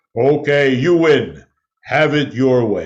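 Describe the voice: A man's put-on character voice, fairly high in pitch, at a fairly slow pace.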